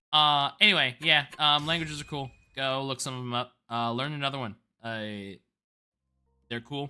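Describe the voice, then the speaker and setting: Speaking at a moderate pace with long, frequent pauses, a man uses a fairly high pitch and ordinary pitch variation while music plays in the background. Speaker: gaming streamer. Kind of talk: casual chat. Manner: loud.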